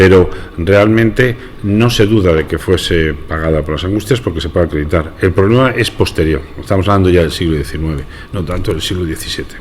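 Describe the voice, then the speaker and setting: A man with a very deep, low voice speaks at a fairly quick pace with ordinary pitch variation over noticeable background noise. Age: 60s. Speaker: brotherhood member. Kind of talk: radio interview.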